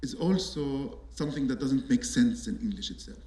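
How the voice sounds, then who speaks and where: A man with an Arabic accent, speaking at a fairly slow pace, with audible room echo. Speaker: artist and architect. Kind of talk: panel talk. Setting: auditorium with audience. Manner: halting.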